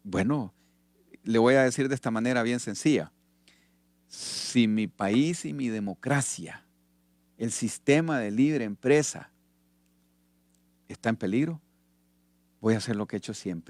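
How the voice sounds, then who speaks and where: On a very clean recording with a silent background and a dry, close sound with no echo, a man of medium pitch speaks at a fairly slow pace with long, frequent pauses and ordinary pitch variation. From Honduras. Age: 60s. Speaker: retired army officer and politician. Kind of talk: radio interview.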